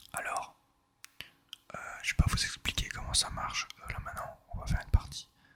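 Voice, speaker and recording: Over noticeable background noise, a man whispers in a relaxed tone at a moderate pace. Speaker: ASMR gaming video creator. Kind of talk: casual relaxed gameplay commentary. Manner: soft-spoken, relaxed.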